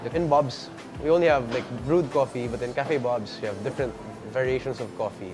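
Fairly quick speech from a man with ordinary pitch variation, clear music in the background. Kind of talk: interview answer. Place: cafe. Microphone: lapel.

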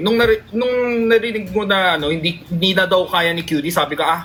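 The tone is animated, at a fairly quick pace. Noticeable background noise is present. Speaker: live streamer. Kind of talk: casual chat.

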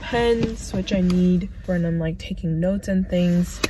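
Noticeable background noise behind a woman at a medium pitch and a very slow pace. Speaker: PA student vlogger. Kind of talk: casual vlog. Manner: casual, chatty, direct to camera.

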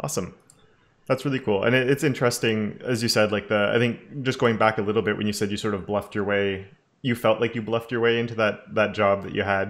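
A man speaks very fast with a fairly low pitch and fairly even intonation. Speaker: YouTube web development educator, interviewer. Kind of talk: interview on live stream. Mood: friendly, upbeat.

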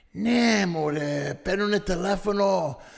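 Lively intonation marks this man's speech. His tone is animated. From Canada. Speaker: stand-up comedian and actor. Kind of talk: casual chat. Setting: distillery recording with hosts.

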